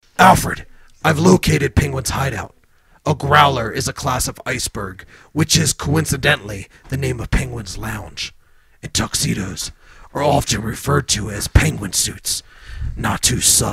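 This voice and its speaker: Using a put-on character voice, a man speaks at a medium pitch with lively intonation. His pace is moderate, and his loudness swings widely. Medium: audio drama. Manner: terse, serious.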